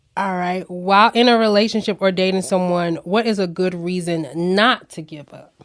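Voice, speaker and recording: A woman speaks in an ordinary speaking voice at medium pitch and a moderate pace, with an American accent, fairly even intonation, and big swings in loudness. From Florida. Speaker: podcast host. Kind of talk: casual interview.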